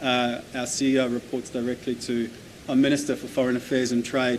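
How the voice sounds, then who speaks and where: Over noticeable background noise, a man with an Australian accent speaks at a fairly quick pace and medium pitch. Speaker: development agency representative. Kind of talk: conference presentation.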